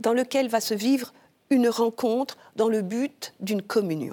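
A woman with a fairly high pitch delivers her words very slowly. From Martinique. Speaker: consecrated virgin, church liturgy director. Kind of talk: interview.

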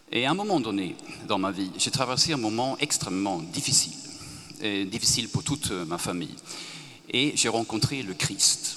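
Speaking in a Swedish accent, a man with a medium pitch uses lively intonation at a moderate pace, with long, frequent pauses. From Sweden. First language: Swedish (speaking French). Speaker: author. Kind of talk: panel discussion.

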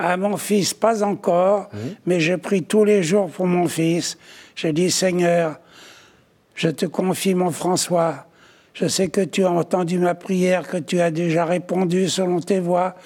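At a very slow pace, a man speaks in a high pitch with fairly even intonation. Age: 80s+. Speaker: author and art dealer. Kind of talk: testimony. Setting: studio. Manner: halting.

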